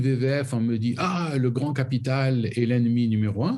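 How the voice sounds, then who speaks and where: Somewhat breathy, a man's medium-pitched voice carries a dark, mellow tone. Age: 60s. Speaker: foundation president. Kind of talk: interview. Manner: halting.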